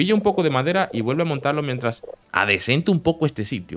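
A man with a Latin American accent at a fairly quick pace, music in the background. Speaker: gaming youtuber. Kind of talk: let's play commentary.

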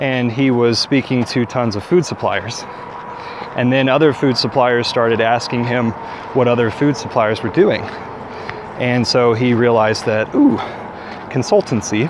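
Fairly slow delivery with long, frequent pauses and ordinary pitch variation, a dry sound with no echo, and noticeable background noise. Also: man. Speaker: vlogger on a walk. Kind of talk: casual vlog chat. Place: forest. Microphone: earbuds.

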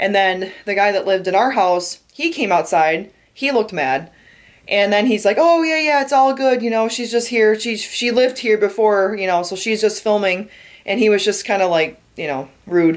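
In an American accent, a woman speaks at a moderate pace with lively intonation against a quiet background. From Michigan, Detroit area. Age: 20s. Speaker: vlogger. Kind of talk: casual vlog narration. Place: home room. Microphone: phone near.

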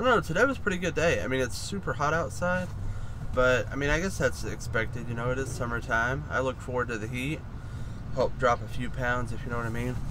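Over noticeable background noise, a man speaks very fast in a dry sound with no echo. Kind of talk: casual vlog chat. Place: car. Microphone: phone near.

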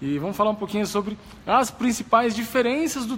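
This man's speech moves at a fairly quick pace. Some light noise sits in the background. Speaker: running coach. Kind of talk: live stream talk. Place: gym. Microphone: phone near.

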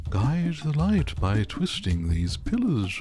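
A man talks at a fairly slow pace in a fairly low, put-on character voice. Background noise is clearly heard. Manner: wise, hooting, put-on.

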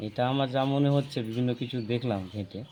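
A man talks with fairly even intonation. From West Bengal, Malda district. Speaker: local resident who found the bird. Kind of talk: on-the-spot interview. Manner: halting.

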